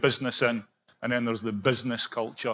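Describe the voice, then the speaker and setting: A man speaks at a medium pitch with a monotone, flat intonation. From Scotland. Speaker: project executive for contractors. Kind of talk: conference panel discussion.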